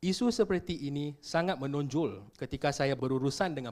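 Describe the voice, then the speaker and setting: A man with a normal speaking voice talks at a fairly high pitch with ordinary pitch variation on a very clean recording with a silent background. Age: 30s. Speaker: political candidate, lawyer. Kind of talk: campaign statement. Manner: formal.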